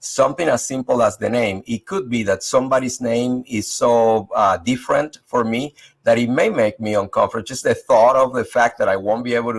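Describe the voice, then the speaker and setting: The speaker has a Spanish accent. They talk at a moderate pace. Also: man. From Venezuela. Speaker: leadership panelist. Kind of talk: panel discussion.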